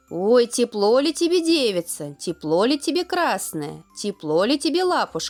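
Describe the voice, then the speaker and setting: A female-sounding put-on character voice uses a fairly high pitch with very wide pitch swings. It moves at a moderate pace with hardly any pauses over faint music in the background. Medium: read story.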